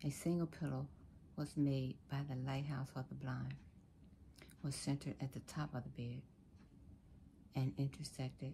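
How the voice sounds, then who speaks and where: A soft-spoken woman with a very deep, low pitch, a dark, mellow tone, vocal fry, a calm tone and monotone, flat intonation, over light background noise. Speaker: reader of a speech text. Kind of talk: reading a speech aloud. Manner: soft-spoken calm ASMR reading voice. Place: home room. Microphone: phone near.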